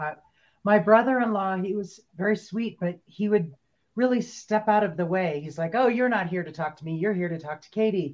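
A woman speaks in a normal speaking voice at medium pitch and a moderate pace, with ordinary pitch variation and big swings in loudness. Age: 50s. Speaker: podcast co-host and musician. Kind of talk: casual chat.

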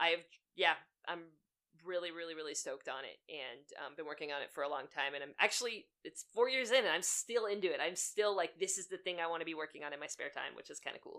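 Talking very fast with a slight Pittsburgh accent, a woman has a fairly low pitch, a bright, sharp tone, lively intonation and big swings in loudness. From Western Pennsylvania. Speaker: animator and storyboard artist. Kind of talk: casual interview chat.

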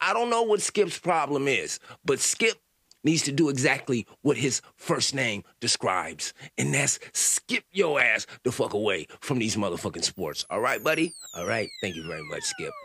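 This man speaks at a moderate pace in an animated tone. The sound is dry and close, with no echo. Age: 40s. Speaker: comedy podcast host. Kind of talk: comedic monologue.

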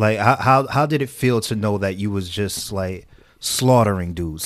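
An ordinary speaking voice comes through a very clean recording with a silent background, at a moderate pace with ordinary pitch variation. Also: man. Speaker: guest, fitness instructor and friend of the host. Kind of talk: casual chat.

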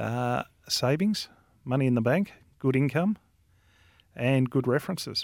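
Keeping his loudness very even, a man talks with ordinary pitch variation and long, frequent pauses. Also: medium pitch for a man, fairly slow pace. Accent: Australian. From Australia, Victoria. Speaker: real estate company director. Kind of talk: casual chat. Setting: studio.

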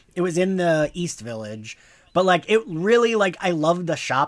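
A high-pitched man with an American accent at a moderate pace, dry, close sound with no echo, very clean recording and silent background. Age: 40s. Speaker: podcast host guest. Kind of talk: casual chat.

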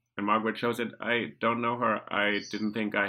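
A bright, sharp tone with a German accent and monotone, flat intonation, in a very clean recording with a silent background. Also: man. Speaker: podcast host. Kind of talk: interview.

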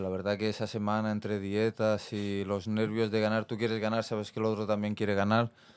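In a very clean recording with a silent background, the speech runs at a fairly quick pace with hardly any pauses and monotone, flat intonation. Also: man. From Barcelona, Spain (Besòs). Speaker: professional MMA fighter. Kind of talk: casual interview. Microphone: far from the mic.

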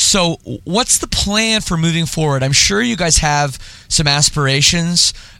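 Noticeable background noise sits beneath speech delivered at a fairly slow pace. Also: man, high pitch for a man, lively intonation. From Toronto area, Canada. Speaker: podcast host. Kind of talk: casual interview; read-out ad.

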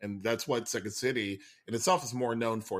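This very clean recording with a silent background has a man at medium pitch with ordinary pitch variation and an ordinary speaking voice. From Puerto Rico and San Antonio, Texas. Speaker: improv performer and teacher. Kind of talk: casual interview conversation.

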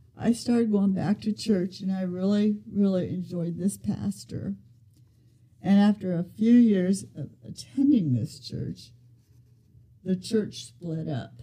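Very slow and somewhat breathy, a woman speaks with a dark, mellow tone. Her medium pitch carries lively intonation. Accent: American. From US Midwest, Ohio. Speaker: grandmother sharing faith story. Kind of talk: testimony.

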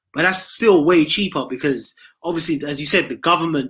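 A man with a British accent speaks at a moderate pace in a fairly high pitch, his tone bright and sharp, with ordinary pitch variation over a quiet background. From United Kingdom. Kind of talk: call-in discussion.

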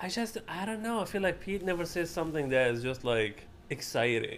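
A man talks with an Arabic accent. His pitch swings very widely. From Libya, Benghazi. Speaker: comedian and writer. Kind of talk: casual chat.

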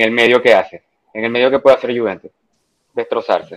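A man at a medium pitch speaks with a flat, monotone delivery. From Dominican Republic. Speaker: football fan. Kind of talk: casual chat. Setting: online call.

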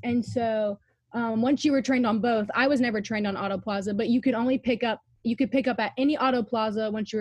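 A woman with a fairly high pitch speaks at a fairly quick pace, sounding somewhat breathy. The sound is dry and close, with no echo. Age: young. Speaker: former theme park parking worker. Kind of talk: casual chat. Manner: animated.

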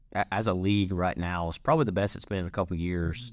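A man's very deep, low voice with a Louisiana accent, on a very clean recording with a silent background. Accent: Louisiana Southern. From North Central Louisiana. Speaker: student podcast host. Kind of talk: casual interview.

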